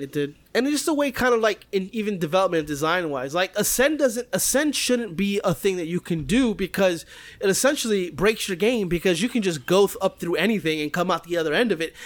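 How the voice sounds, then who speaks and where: Talking at a fairly quick pace with hardly any pauses, a man uses a high pitch and lively intonation. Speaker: video game podcast co-host. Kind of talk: casual chat. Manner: grunts.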